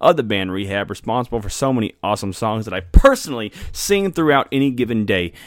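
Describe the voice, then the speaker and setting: A man's ordinary speaking voice at a medium pitch and a fairly quick pace. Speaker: podcast host. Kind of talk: casual interview chat. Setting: in-person interview.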